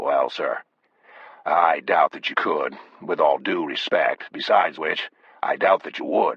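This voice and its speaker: Raspy and extremely high-pitched, a man performs a put-on character voice. He speaks at a fairly slow pace. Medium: read story. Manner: plain-spoken, respectful.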